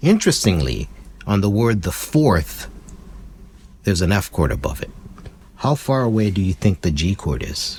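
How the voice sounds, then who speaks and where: Quiet and very deep, a man's low-pitched voice moves at a moderate pace with very wide pitch swings and long, frequent pauses. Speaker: ukulele teacher. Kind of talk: tutorial. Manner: lowered voice, speaking quietly.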